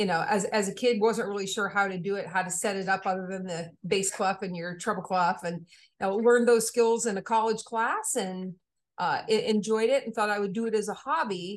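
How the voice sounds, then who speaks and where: Against a quiet background, a woman with a normal speaking voice talks at a moderate pace and medium pitch with fairly even intonation. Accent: American. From Maine, US. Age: 40s. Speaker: composer and music educator. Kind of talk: interview conversation.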